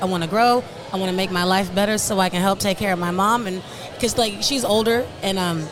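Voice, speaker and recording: A woman speaks very fast with noticeable background noise behind her. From Nigeria. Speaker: media marketing entrepreneur. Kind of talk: interview. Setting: studio.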